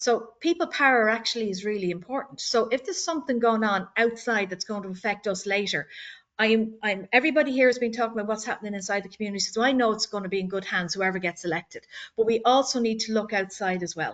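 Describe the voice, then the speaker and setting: In an Irish accent, a woman talks at a very fast pace with a fairly high pitch and ordinary pitch variation against a quiet background. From Ireland, Dublin. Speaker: board candidate. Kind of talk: candidate speech at community meeting. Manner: halting, repeats words.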